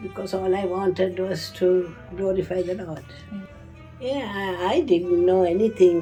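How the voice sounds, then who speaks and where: A woman's medium-pitched voice at a fairly slow pace, with fairly even intonation and music in the background. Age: 80s+. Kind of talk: interview answer.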